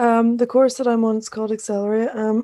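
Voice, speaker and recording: A woman's fairly high voice with a Northern Irish accent and a dark, mellow tone, on a very clean recording with a silent background. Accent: Northern Irish (Belfast). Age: 20s. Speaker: podcast co-host, youth program participant. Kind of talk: casual chat. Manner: halting.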